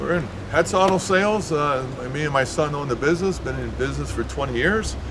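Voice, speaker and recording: Noticeable noise runs in the background. The room echo is audible too. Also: man. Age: 60s. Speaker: car owner and used car dealer. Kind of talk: casual interview. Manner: halting, many fillers.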